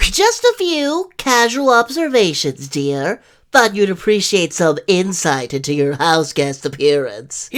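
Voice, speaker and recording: A put-on character voice at middle pitch moves at a fairly slow pace with hardly any pauses, in a very clean recording with a silent background. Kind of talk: theatrical comic overacting. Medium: fan dub. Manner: florid, ornate vocabulary, teasing.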